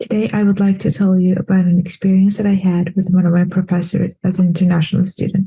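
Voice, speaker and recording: Her voice medium in pitch, somewhat breathy and dark and mellow in tone, a woman speaks fairly quickly in a monotone, flat intonation. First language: not English. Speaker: international student. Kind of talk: prepared testimony.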